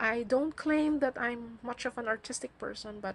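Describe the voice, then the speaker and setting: A woman speaks with a somewhat breathy voice. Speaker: mental health blogger and vlogger. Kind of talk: casual monologue vlog. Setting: video recording. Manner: halting.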